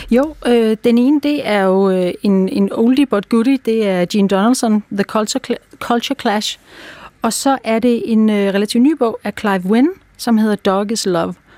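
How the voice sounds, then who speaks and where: A woman with a fairly high pitch and a dark, mellow tone speaks at a fairly slow pace with ordinary pitch variation. Her loudness stays very even, and the sound is dry and close with no echo. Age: 50s. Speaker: dog behaviour consultant. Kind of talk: interview. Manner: hesitant, many fillers.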